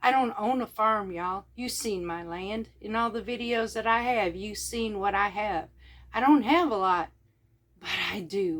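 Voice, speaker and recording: At a moderate pace, a woman with a Mississippi accent speaks with fairly high pitch and ordinary pitch variation. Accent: Southern US (Mississippi). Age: 50s. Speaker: homesteader vlogger. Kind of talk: casual vlog talk. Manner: loud.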